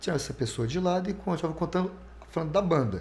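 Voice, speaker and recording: A man is speaking. His intonation is lively. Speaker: radio announcer. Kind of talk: interview answer.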